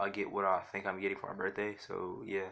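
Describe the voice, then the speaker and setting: Here is a man speaking. His tone is bright and sharp. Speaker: YouTuber narrating fan fiction scenario. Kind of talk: casual monologue. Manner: fast; halting, many filler words.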